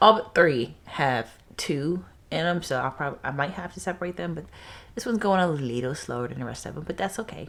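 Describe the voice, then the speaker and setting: With lively intonation and big swings in loudness, a woman speaks at a fairly quick pace in a very deep, low pitch. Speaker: gardening vlogger. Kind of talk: casual vlog. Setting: at home, indoors. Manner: casual, filler-heavy.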